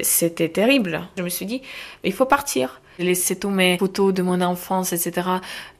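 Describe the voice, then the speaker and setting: A woman speaks with an Eastern European accent at a moderate pace. Her pitch sits in the middle range and varies in an ordinary way. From Ukraine, Kharkiv. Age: 20s. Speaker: Ukrainian refugee. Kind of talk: interview testimony.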